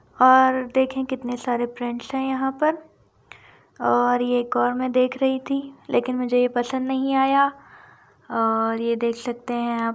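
A woman's high-pitched, monotone voice with flat intonation, at a fairly slow pace. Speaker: vlogger shopping. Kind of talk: casual vlog chat. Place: shop.

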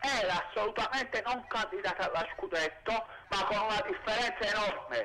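A man with a high voice projects loudly at a moderate pace with lively intonation. Noticeable background noise is present. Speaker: caller. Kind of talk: phone-in opinion. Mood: animated football opinion. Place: street. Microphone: handheld.

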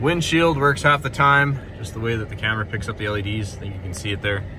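A man with ordinary pitch variation in a dry sound with no echo, plus noticeable background noise. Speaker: car salesperson. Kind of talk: product walkthrough. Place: car. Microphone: phone near.

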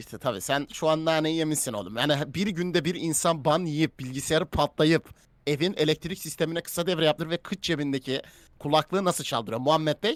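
A man with a fairly high pitch speaks in an animated tone with ordinary pitch variation, the sound dry and close with no echo. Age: 20s. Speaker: streamer. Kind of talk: casual live stream chat.

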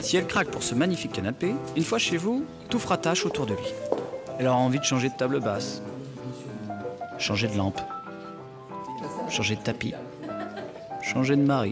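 An upbeat man at medium pitch, fairly quick yet with long, frequent pauses, pitch swinging very widely, music in the background. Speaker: voice-over artist. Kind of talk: TV commercial read. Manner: humorous, upbeat, persuasive.

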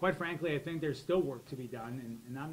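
A man at a very fast pace with ordinary pitch variation, over light background noise. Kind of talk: opening statement at a roundtable. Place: meeting room. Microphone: handheld.

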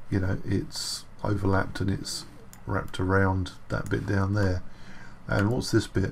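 Over light background noise, a man talks with fairly even intonation in a very deep, low pitch. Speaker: 3D modelling tutor. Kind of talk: tutorial.

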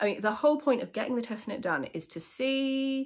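A woman with a southern English accent, against a quiet background. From England. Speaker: knitwear designer; knitwear designer podcaster. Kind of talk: casual chat. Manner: conversational, with fillers. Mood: chatty, humorous, nostalgic. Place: home room. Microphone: phone near.

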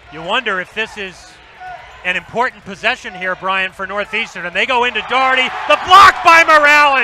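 A raised, projected voice speaks at a fairly quick pace with lively intonation and big swings in loudness, in a dry sound with no echo over noticeable background noise. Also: man, high pitch for a man. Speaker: play-by-play announcer. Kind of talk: live play-by-play sports commentary. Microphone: headset.

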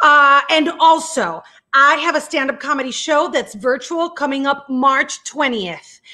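Against a quiet background, the speaker uses a raised, projected voice with a bright, sharp tone, ordinary pitch variation and a fairly slow pace. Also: woman, high pitch for a woman. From Puerto Rico. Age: 40s. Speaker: TV journalist and online show host; TV journalist, online show host. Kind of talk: casual live-stream interview. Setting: video call live stream. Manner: animated. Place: home room. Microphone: earbuds.

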